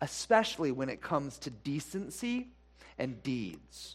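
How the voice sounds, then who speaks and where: Speaking very slowly, a man lets his pitch swing very widely. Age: 40s. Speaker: pastor. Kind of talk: sermon. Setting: church.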